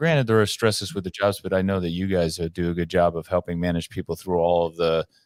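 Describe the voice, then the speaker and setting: Very deep and low in pitch, a man speaks very fast with ordinary pitch variation, in a dry, close sound with no echo and a very clean recording over a silent background. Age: 60s. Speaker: podcast host. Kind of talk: casual chat. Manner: halting.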